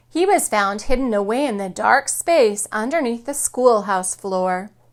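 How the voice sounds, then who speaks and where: A woman's fairly high, lively voice, an ordinary speaking voice, in a very clean recording with a silent background. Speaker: kindergarten teacher. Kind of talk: children's picture book read-aloud.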